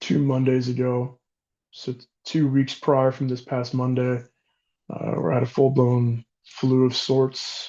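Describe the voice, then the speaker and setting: A man's monotone, flat delivery at a fairly slow pace. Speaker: fitness coach. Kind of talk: vlog monologue. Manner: halting with many fillers.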